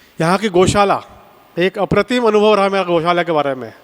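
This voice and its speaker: Noticeable background noise sits behind a man whose voice is high-pitched, with ordinary pitch variation. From Nagpur, Maharashtra, India. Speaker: camp participant. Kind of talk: testimonial.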